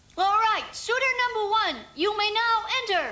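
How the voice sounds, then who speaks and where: Pitched extremely high, the cartoonish character voice keeps a moderate pace. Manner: polite, soothing.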